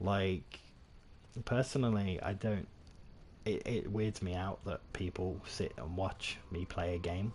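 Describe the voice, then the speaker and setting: A man with a British accent and a very deep, low, somewhat breathy voice speaks at a very slow pace with ordinary pitch variation and long, frequent pauses. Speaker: gaming streamer. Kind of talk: live gameplay commentary. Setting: livestream. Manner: casual, rambling with frequent fillers.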